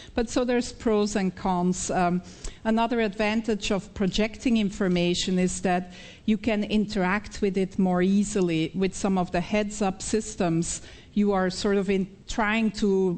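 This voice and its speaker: A woman with a Belgian accent talks at a fairly slow pace and a medium pitch. Her loudness is very even and her intonation fairly even. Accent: Belgian accent, still noticeable. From Belgium (Flemish). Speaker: professor, researcher. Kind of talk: conference Q&A. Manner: halting with frequent fillers.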